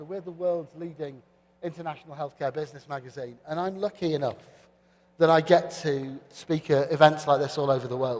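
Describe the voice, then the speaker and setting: A fairly high-pitched man with a British accent, at a fairly quick pace, with ordinary pitch variation and big swings in loudness. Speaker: panel moderator. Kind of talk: conference panel moderation. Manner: hesitant fillers.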